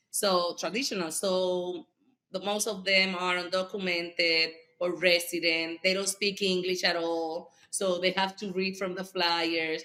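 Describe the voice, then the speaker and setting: Her tone bright and sharp, a woman speaks at a medium pitch and a fairly slow pace, with monotone, flat intonation. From Puerto Rico. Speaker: school board member and politician. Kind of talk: podcast interview. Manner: halting, many fillers.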